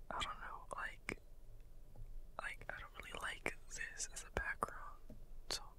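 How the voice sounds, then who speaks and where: The speech goes at a fairly slow pace with long, frequent pauses. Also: man. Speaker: ASMR channel host. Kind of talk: ASMR whispered ramble to camera. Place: home room. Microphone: studio mic.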